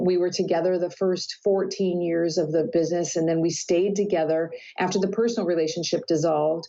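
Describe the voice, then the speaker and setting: With an ordinary speaking voice, a woman talks at a fairly low pitch with fairly even intonation. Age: 60s. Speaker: life coach. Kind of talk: interview.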